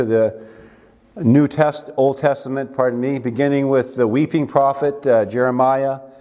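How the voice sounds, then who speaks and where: Against a quiet background, a man's voice comes through with a dark, mellow tone. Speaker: pastor. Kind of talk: sermon. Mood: warm, festive greeting. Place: church. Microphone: lapel.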